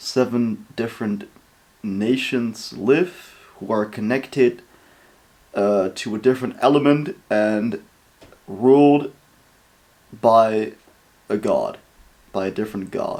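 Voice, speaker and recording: This speaker has a Dutch accent and talks at a very slow pace. Long, frequent pauses break up speech with ordinary pitch variation. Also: man. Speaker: reaction video creator. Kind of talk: casual reaction commentary. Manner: casual, hesitant with fillers.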